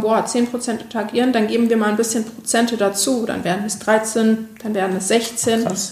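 Moderate pace and monotone, flat intonation against noticeable background noise. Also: woman. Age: 20s. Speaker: social media agency owner. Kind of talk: interview.

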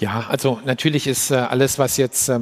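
A man's voice at medium pitch. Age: 50s. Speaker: business executive. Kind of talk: live stage interview. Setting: stage with audience. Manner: halting.

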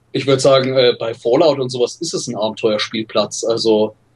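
A somewhat breathy man's voice. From Bavaria, Germany (Regensburg). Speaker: film scholar. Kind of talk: casual interview.

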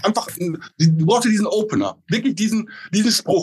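High-pitched and full of lively intonation, a man's voice comes through in a dry, close sound with no echo. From Westphalia. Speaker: insurance agent. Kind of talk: casual interview.

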